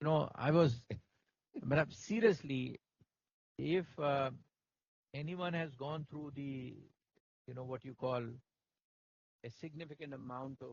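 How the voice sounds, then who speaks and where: A man with a Pakistani accent speaks at a fairly slow pace, with long, frequent pauses. His fairly high voice is somewhat breathy, and its pitch varies in an ordinary way. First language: Urdu. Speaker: company CEO and author. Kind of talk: interview at book launch. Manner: halting. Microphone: problem with the mics.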